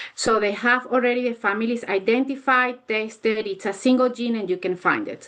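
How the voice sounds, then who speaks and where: A woman talks at a fairly quick pace with hardly any pauses, in a non-native accent. Her pitch is fairly high and her intonation fairly even. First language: not English. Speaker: neuropsychologist. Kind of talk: academic Q&A. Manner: halting. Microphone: connection cutting out.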